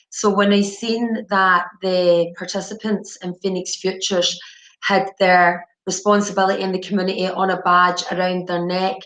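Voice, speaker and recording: A woman talks at a medium pitch with a monotone, flat intonation. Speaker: addiction treatment manager. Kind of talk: webinar presentation. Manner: deliberately slow; halting, many repetitions and fillers.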